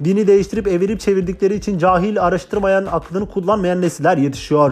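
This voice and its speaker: Through noticeable background noise, a man speaks at a high pitch with fairly even intonation. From Turkey (Kurdish). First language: Kurdish (speaking Turkish). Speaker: podcaster, former imam. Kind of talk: casual monologue. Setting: home recording. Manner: fast, words run together.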